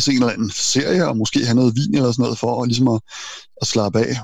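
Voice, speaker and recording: Ordinary pitch variation marks a man's medium-pitched speech, delivered at a very fast pace. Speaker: self-employed programmer and IT journalist. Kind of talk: casual interview.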